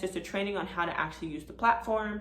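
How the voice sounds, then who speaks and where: A woman talks at a very fast pace with ordinary pitch variation. Noticeable background noise and audible room echo are present. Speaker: notary and video creator. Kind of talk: tutorial.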